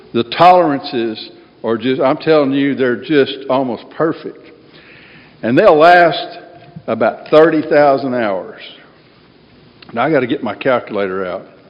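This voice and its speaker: Speaking with an American accent over noticeable background noise, the voice moves at a fairly slow pace with long, frequent pauses and lively intonation. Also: man, fairly high pitch for a man. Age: 60s. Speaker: AA speaker. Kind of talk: recovery talk to a meeting. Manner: casual, conversational.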